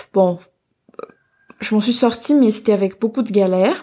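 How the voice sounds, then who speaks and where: This woman talks at a medium pitch. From Madagascar, outskirts of Antananarivo. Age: 20s. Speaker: business school student. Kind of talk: interview about her culture. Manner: hesitant, many fillers.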